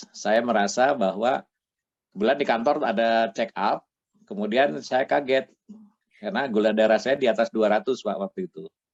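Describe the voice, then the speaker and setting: A man speaks in an ordinary speaking voice at a medium pitch and a moderate pace, with lively intonation and a dry, close sound with no echo. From Bandung, West Java, Indonesia. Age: 60s. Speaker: retired patient giving testimony. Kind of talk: testimony interview. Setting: video call.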